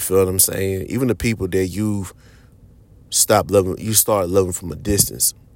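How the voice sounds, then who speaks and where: A man's very deep, low voice at a fairly quick pace with ordinary pitch variation. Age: 30s. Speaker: podcast host. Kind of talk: solo podcast monologue. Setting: at a podcast mic. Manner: casual, conversational.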